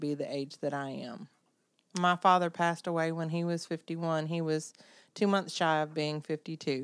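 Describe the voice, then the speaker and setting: The speaker goes at a moderate pace with a Southern US accent. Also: woman. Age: 50s. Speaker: podcast co-host. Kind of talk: casual chat.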